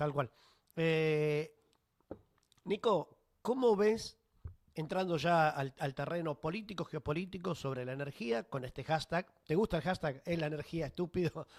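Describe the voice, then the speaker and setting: A man speaks at a fairly slow pace in a fairly high pitch, with ordinary pitch variation and long, frequent pauses. The sound is dry and close with no echo. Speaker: radio host. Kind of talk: radio interview.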